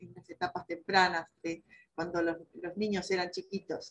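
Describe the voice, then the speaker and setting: A woman speaks in a somewhat breathy voice. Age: 60s. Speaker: election candidate, rural producer. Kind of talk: panel discussion, self-introduction. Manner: hesitant with fillers.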